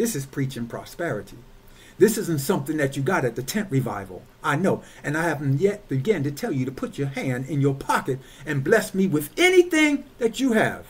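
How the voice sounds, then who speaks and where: Pitched fairly high, a man speaks at a moderate pace with very wide pitch swings. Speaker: church overseer, preacher. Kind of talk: sermon delivered to a congregation. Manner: emphatic, rhythmic, repetitive preaching delivery. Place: home room. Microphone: webcam.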